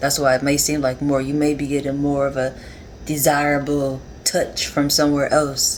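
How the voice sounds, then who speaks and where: Noticeable noise can be heard behind the speech. The speaking rate is moderate. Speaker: tarot reader. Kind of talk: tarot reading monologue. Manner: conversational, rambling.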